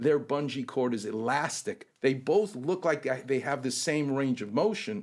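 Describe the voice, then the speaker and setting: A man talks with hardly any pauses, his pitch fairly high. His tone is animated and his intonation lively. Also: moderate pace. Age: 60s. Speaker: orthopedic surgeon. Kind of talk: casual chat.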